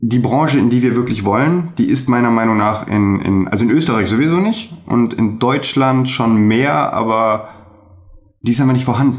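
Moderate pace, very even loudness and ordinary pitch variation. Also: man. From Germany, Remscheid (North Rhine-Westphalia); North Rhine-Westphalia. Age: 30s. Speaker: videographer; guest. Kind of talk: interview. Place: home room. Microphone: webcam.

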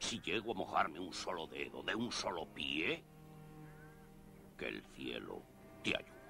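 Taking a fairly slow pace, a man puts on a character voice. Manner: bullying, capricious, mocking.

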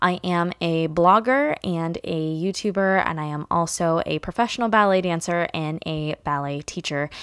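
A woman at a moderate pace with hardly any pauses and ordinary pitch variation, dry sound with no echo, quiet background. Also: fairly low pitch for a woman. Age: 20s. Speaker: podcast host; podcast host, blogger. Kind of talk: casual monologue. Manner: animated. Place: home room. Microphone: studio mic.

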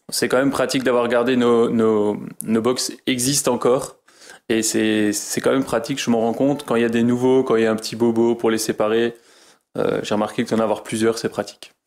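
A man's fairly quick, monotone delivery with flat intonation and very even loudness. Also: medium pitch for a man. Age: 30s. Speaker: horse stable manager and farmer. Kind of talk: interview. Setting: on location at stable. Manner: halting.

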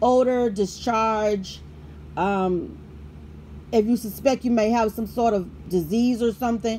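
Against light background noise, a woman speaks at a fairly slow pace. Her voice is somewhat breathy, with ordinary pitch variation. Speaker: product reviewer. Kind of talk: product review chat. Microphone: phone near.

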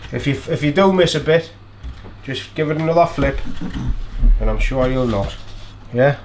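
A man at a moderate pace with ordinary pitch variation, over light background noise. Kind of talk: casual cooking tutorial. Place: kitchen.

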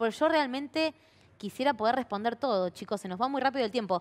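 This woman's voice sits at a fairly high pitch. Her intonation is lively. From Argentina. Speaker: TV show host; show host. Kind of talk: interview. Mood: friendly, casual. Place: studio.

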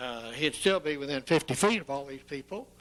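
This man talks at a moderate pace in a fairly high voice with ordinary pitch variation. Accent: Texan. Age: 70s. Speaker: property owner. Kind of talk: public hearing remarks. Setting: city council meeting. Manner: halting.

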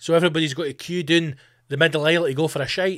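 The speaker has an Edinburgh accent and an animated tone, talking at a very fast pace. The background is quiet. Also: man. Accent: Scottish (Edinburgh). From Scotland. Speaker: comedian and podcast host. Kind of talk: casual solo monologue. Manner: animated, sweary. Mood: jokey, ranting. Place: home room. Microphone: studio mic.

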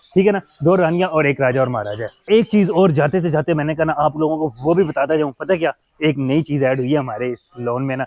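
Speaking at a fairly quick pace with ordinary pitch variation, a man is heard in a dry sound with no echo. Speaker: pet vlogger. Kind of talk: casual vlog chat. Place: garden. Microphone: lapel.

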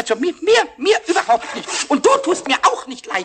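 Using a put-on character voice, a man talks at a moderate pace in an extremely high pitch with very wide pitch swings. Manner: excited, stammering.

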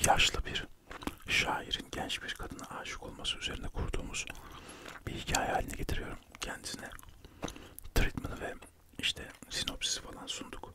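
The pace stays moderate as a man whispers. Long pauses come often. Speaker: radio show host and poet/writer. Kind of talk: ASMR chat about his life, whispered, chewing gum. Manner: whispered, soft, chatty. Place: home room. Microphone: studio mic.

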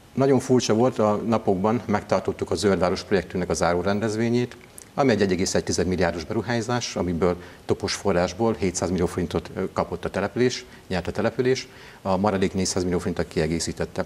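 Talking at a fairly quick pace, a man with a fairly low pitch, ordinary pitch variation and very even loudness uses an ordinary speaking voice. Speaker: town mayor. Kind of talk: interview answer. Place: studio. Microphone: lapel.

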